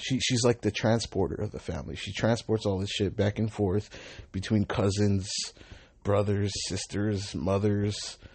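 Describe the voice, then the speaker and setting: A man talks at a moderate pace, his voice somewhat breathy. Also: fairly low pitch for a man, fairly even intonation. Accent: Southern California. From Southern California, Long Beach. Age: 20s. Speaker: podcaster and rideshare driver. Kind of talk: casual monologue.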